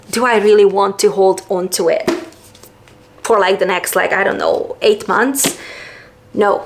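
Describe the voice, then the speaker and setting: Noticeable background noise fills the recording. Over it, a woman talks fairly slowly. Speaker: booktuber. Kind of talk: casual vlog talk. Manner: casual, filler-heavy.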